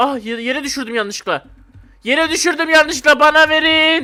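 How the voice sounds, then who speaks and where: A raised, projected voice with a bright, sharp tone delivers the words at a fairly slow pace. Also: man. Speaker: gaming YouTuber. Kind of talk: gameplay commentary. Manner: animated.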